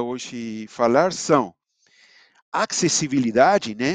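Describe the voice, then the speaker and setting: A man's voice with very wide pitch swings, dry and close with no echo, over a quiet background. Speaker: simulation engineer presenting software. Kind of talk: online webinar presentation. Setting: live online event. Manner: halting, with many fillers.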